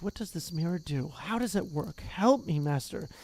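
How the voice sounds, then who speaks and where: A put-on character voice at middle pitch and moderate pace, with clear background noise. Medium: read story. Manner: impatient.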